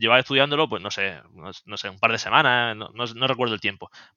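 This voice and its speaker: A man with a medium pitch and a bright, sharp tone talks at a fairly quick pace in a dry, close sound with no echo, on a very clean recording with a silent background. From Spain, Murcia. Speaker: AI project manager and online learning creator. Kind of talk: interview conversation.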